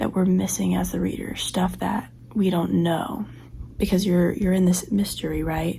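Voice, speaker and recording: Noticeable noise runs in the background. A woman does the talking. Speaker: book vlogger. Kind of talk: casual vlog monologue. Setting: cousin's apartment at night.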